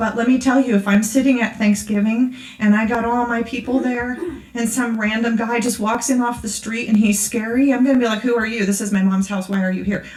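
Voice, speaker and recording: A woman's fairly high, monotone, flat voice at a fairly quick pace, with audible room echo and noticeable background noise. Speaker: conference speaker. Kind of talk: sermon. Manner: fast; casual, conversational.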